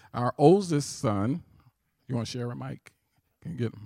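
A man with an American accent, medium pitch and a dark, mellow tone, very wide pitch swings, a moderate pace, and a very clean recording with a silent background. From St. Louis, Missouri. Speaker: minister and family advisor. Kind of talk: sermon. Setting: church with audience.

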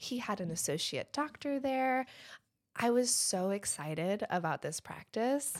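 A woman's unremarkable speaking voice with an American accent and lively intonation. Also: very clean recording, silent background. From Michigan. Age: 30s. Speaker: dentist. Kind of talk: casual chat.

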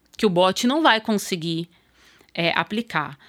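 This woman has a fairly low voice. Her pitch variation is ordinary. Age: 40s. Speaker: procurement manager. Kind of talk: interview. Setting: studio.

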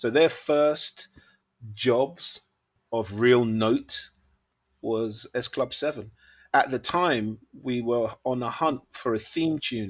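Against a very clean recording with a silent background, a man with a London accent speaks very slowly at a medium pitch, with ordinary pitch variation and long, frequent pauses. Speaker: music manager and producer. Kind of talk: casual interview.

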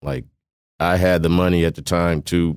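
Speaking in an American accent, a man talks at a fairly slow pace in a very deep, low pitch with monotone, flat intonation. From US South, Mississippi, then Iowa. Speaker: barber and business owner. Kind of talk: interview. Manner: halting, with repetitions.

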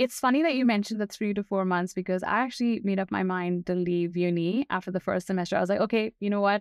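A woman speaks at a very fast pace with hardly any pauses and very even loudness. Her medium pitch shows ordinary pitch variation. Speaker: podcast host. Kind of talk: casual interview.

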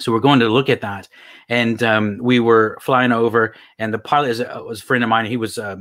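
In a very clean recording with a silent background, a man with an American accent speaks at a moderate pace, his medium pitch delivered in a monotone, flat way. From US Texas. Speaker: LinkedIn coach. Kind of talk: casual interview.

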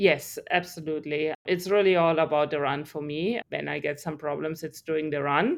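A woman with a very deep, low pitch and a German accent. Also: moderate pace. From Germany. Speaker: triathlete and research scientist. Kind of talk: interview. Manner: animated.

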